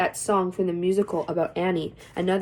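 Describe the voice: Plain reading aloud. Nothing more is heard.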